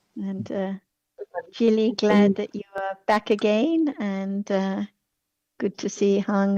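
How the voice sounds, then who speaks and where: A soft-spoken woman talks at a very slow pace and medium pitch. Her tone is dark and mellow, and the sound is dry and close with no echo. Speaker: discussion group moderator. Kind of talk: casual chat. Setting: video call. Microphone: faint, too quiet.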